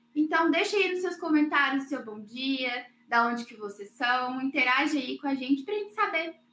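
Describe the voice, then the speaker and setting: A woman with a slight mineiro accent speaks at a high pitch. Her tone is bright and sharp, and her intonation lively. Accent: slight mineiro accent (Minas Gerais). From Minas Gerais, Brazil. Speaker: webinar host, marketing staff. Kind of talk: live webinar hosting. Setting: online livestream.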